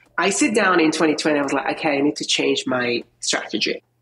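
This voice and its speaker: A woman with an Italian accent speaks with very wide pitch swings. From Italy. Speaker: video marketing expert. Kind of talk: podcast interview.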